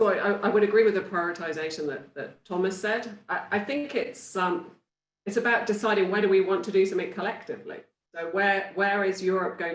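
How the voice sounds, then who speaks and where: A woman speaks in a British accent at a medium pitch with ordinary pitch variation. Her pace is fairly quick, and audible room echo is present. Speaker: industry panelist. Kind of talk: panel discussion. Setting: virtual conference.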